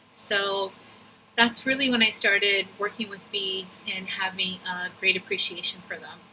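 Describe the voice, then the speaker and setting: A woman at medium pitch and a fairly slow pace, fairly even in intonation, with big swings in loudness and noticeable background noise. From Brazil. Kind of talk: testimonial video. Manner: casual.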